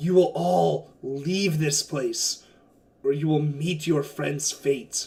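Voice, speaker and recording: A man's shouted, raspy put-on character voice, fairly high for a man and very slow. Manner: yelling, threatening.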